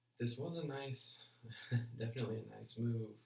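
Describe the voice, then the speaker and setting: The room echo is clearly audible. Within it, a man speaks at an even, moderate rate. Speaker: forex trader streaming live analysis. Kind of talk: live trading stream commentary. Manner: casual, halting with repeated words; mumbling.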